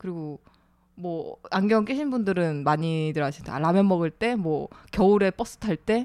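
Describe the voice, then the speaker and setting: The speaker is a woman with a medium pitch. Her tone is dark and mellow. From Gyeongsang region, South Korea. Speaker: radio writer. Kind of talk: casual chat.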